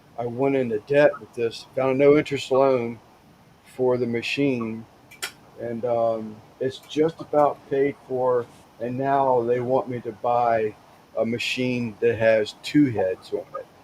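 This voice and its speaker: A man's medium-pitched voice at a fairly slow pace, monotone and flat in intonation, with big swings in loudness over noticeable background noise. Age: 60s. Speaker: caller on a live stream chat show. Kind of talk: casual chat. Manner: halting, many fillers and restarts.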